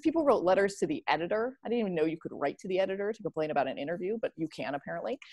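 Speaking in a Midwestern American accent, a woman uses a medium pitch and lively intonation. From US Midwest. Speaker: historian and author. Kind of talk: academic discussion. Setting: video call.

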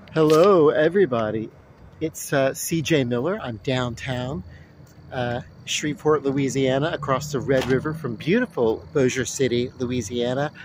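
A man speaks at medium pitch and a moderate pace, with ordinary pitch variation. The sound is dry with no echo, over noticeable background noise. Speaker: vlogger. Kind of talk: casual vlog monologue. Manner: relaxed, many fillers and repetitions. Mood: calm, friendly. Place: street. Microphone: phone near.

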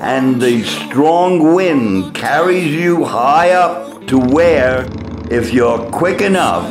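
Over music in the background, a man with an American accent speaks at a very slow pace in a fairly high pitch, with lively intonation and very even loudness. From United States. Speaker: poet. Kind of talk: book trailer narration.

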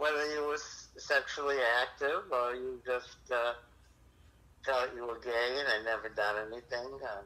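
A man with a bright, sharp tone speaks at a fairly slow pace with fairly even intonation. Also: medium pitch for a man. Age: 70s. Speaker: suspected predator on phone. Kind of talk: casual phone chat. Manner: halting.

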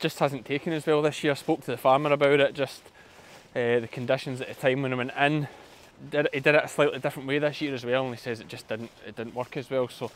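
The sound is dry, with no echo. A man speaks in a monotone, flat way. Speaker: sheep farmer vlogger. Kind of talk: casual vlog chat. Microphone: phone near.

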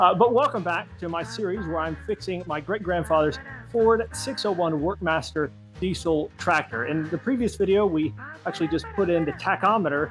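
Music plays clearly in the background. A man speaks over it at a moderate pace. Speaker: hobby tractor restorer. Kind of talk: casual vlog chat. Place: workshop.

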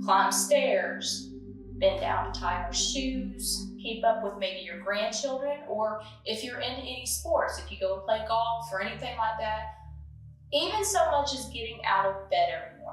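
A woman's voice swings widely in loudness, with audible room echo and faint music in the background. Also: moderate pace. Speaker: fitness instructor. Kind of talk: tutorial. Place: home room. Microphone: camera far.

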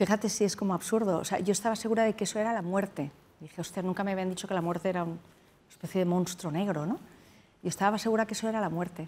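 Her pace is very fast. The woman keeps a fairly even intonation. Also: medium pitch for a woman. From Spain, Madrid. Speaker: doctor, tsunami survivor; interview guest. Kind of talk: interview. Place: studio. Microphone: lapel.

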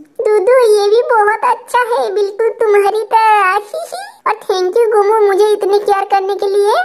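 A female-sounding, cartoonish character voice speaks at an extremely high pitch. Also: moderate pace. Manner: soft, clingy, sweet.

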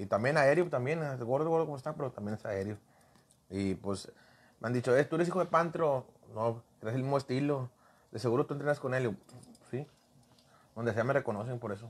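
Fairly quick delivery broken by long, frequent pauses, with ordinary pitch variation. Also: man, medium pitch for a man. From Monterrey, Mexico (Colonia Treviño); Monterrey. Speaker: professional wrestler; guest. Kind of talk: casual interview. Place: studio. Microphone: lapel.

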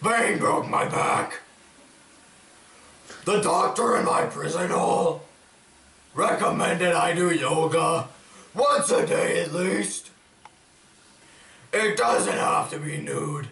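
A man puts on a character voice pitched high. He talks at a very slow pace, with a slight echo. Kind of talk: comic gravelly superhero parody. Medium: comedy sketch. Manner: gruff, self-pitying, deadpan. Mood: deadpan comedic.

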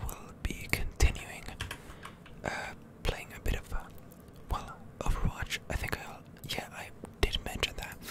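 Someone is whispering. There are long, frequent pauses. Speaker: ASMR gaming content creator. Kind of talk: ASMR gaming commentary, whispered. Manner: whispered, soft-spoken.

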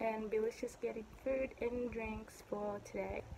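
A woman speaks at a moderate pace and a medium pitch, in a monotone, flat intonation. Noticeable background noise runs underneath. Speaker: vlogger. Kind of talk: casual vlog. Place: home room. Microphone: phone near.

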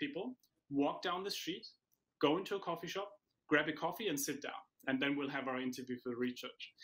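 A man talks fairly quickly in a fairly high voice with a bright, sharp tone and ordinary pitch variation. The background is quiet. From Germany. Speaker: professor and author; professor. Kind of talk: interview. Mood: warm, smiling, animated. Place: home room. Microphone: webcam.

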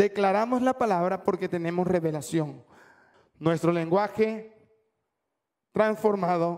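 In a quiet background, a man speaks at a high pitch and a fairly slow pace, with ordinary pitch variation and long, frequent pauses. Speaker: preacher. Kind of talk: sermon. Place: church. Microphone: handheld.

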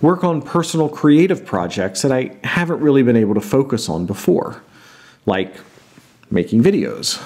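A man talks at a moderate pace, his pitch swinging very widely. The background is quiet. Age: 40s. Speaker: board game vlogger. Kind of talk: casual vlog monologue. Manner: put-on, theatrical delivery. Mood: playful, teasing announcement. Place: home room.

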